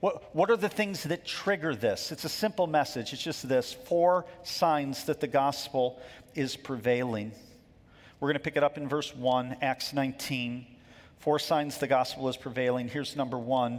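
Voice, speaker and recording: A man speaks in a normal speaking voice, pitched fairly high. His pace is moderate, with ordinary pitch variation. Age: 50s. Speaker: pastor. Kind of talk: sermon. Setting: church.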